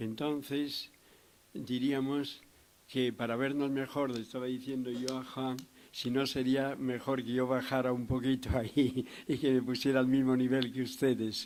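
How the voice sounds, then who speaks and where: Fairly slow in pace, the speech stays monotone, with flat intonation. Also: man, medium pitch for a man. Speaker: psychiatrist lecturer. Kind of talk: lecture. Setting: lecture hall with audience.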